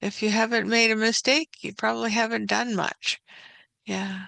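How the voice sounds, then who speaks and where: A soft-spoken woman with a fairly high pitch and a bright, sharp tone is heard in a dry, close sound with no echo. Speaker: digital artist. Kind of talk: casual talk to camera.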